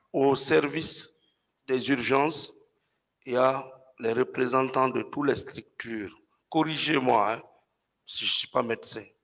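A man talks at a fairly slow pace, leaving long, frequent pauses. His pitch is medium with ordinary variation, and the background is quiet. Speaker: defense lawyer; witness. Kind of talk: courtroom cross-examination. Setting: courtroom. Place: hall. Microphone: podium.

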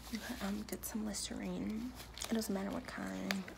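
A woman keeps a moderate pace while noticeable background noise fills the recording. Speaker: piercer or piercing vlogger. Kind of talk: casual vlog chat. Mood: relaxed, friendly. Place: home room. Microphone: phone near.

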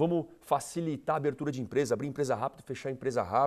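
Vocal fry runs through this voice against a quiet background. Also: man. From Brazil, São Paulo region (São Bernardo do Campo); São Paulo region, Brazil. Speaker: political candidate; candidate. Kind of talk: TV interview. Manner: animated. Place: studio. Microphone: lapel.

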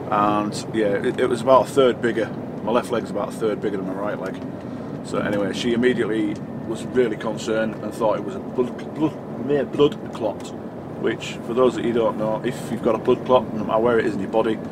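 Loud background noise surrounds a man who talks at a fairly quick pace. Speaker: truck driver vlogger. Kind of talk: casual vlog chat. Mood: calm, slightly concerned. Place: car.

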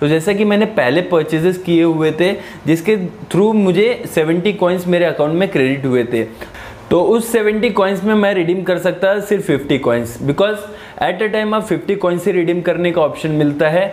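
The pace is moderate and the pitch variation ordinary. Loudness stays very even throughout. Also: man, high pitch for a man. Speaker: tech youtuber. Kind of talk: casual vlog chat. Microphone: lapel.

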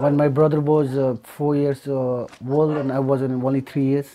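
Using a fairly high pitch, a man with a Nepali accent speaks in a monotone, flat intonation with a dark, mellow tone. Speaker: earthquake survivor. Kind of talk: documentary interview.

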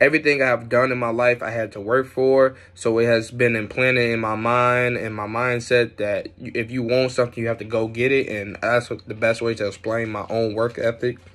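Here is a man with an American accent. His delivery is monotone and flat at a moderate pace. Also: hardly any pauses. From Chicago and Atlanta, US; US. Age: 20s. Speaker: university student. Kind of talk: recorded job interview answers. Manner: halting. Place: home room. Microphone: phone near.

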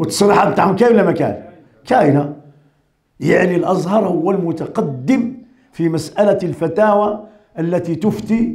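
A man talks at a moderate pace with a high pitch. The background is quiet. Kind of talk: sermon. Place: home room. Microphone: podium.

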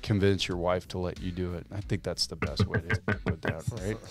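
Faint music plays in the background as a man with a very deep, low pitch talks with ordinary pitch variation in a dry sound with no echo. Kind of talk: casual podcast discussion. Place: studio. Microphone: studio mic.

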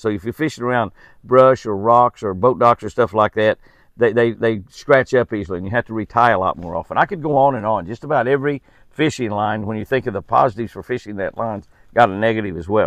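A man's fairly low voice at a fairly quick pace, few pauses, ordinary pitch variation, dry and close with no echo

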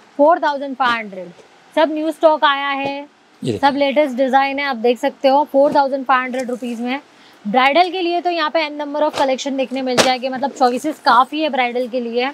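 A woman with a high pitch speaks at a moderate pace and fairly even intonation, the sound dry with no echo and noticeable background noise behind her. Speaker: market vlogger. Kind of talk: product showcase commentary. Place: shop.

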